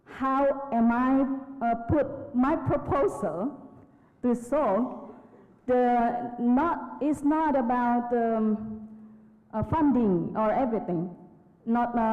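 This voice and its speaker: Against noticeable background noise, a woman talks very slowly at a high pitch, with very even loudness, ordinary pitch variation, and long, frequent pauses. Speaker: conference participant. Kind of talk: audience question at plenary. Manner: halting, many fillers.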